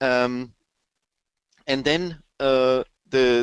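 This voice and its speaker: A man with a German accent talks at a medium pitch, the sound dry and close with no echo. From Germany. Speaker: sales and marketing consultant. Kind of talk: webinar presentation with Q&A. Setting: online webinar. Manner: halting, many fillers and repetitions.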